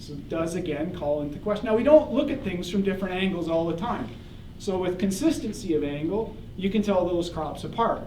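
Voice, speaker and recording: Talking at a fairly quick pace, a man with a Canadian accent and a high pitch is heard with audible room echo and noticeable background noise. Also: lively intonation. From Canada. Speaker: professor. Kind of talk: lecture. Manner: animated.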